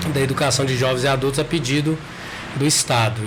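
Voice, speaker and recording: The intonation stays fairly even throughout. Noticeable background noise and audible room echo fill the recording. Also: man. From Brazil, eastern Minas Gerais (Caratinga region). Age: 30s. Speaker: psychologist and local councillor. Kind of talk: podcast interview. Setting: studio.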